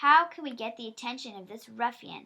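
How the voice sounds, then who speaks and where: A woman puts on a character voice at a high pitch. She talks at a fairly quick pace with ordinary pitch variation. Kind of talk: courtroom speech. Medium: read story. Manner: severe, commanding.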